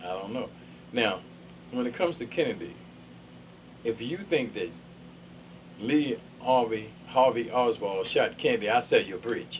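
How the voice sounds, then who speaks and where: A man's somewhat breathy voice at a moderate pace, lively in intonation, with long, frequent pauses. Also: medium pitch for a man. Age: 70s. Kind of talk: casual chat. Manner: animated.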